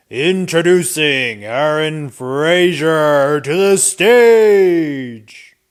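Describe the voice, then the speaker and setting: Putting on a booming character voice, a man speaks at a fairly high pitch with lively intonation, at a very slow pace with hardly any pauses. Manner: big, epic, booming.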